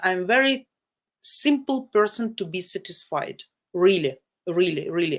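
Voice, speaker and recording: On a very clean recording with a silent background, a woman with a Ukrainian accent speaks fairly slowly at a medium pitch, her intonation lively. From Ukraine, Sumy. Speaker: live-stream dating channel host. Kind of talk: live stream chat. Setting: video live stream. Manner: loud; animated.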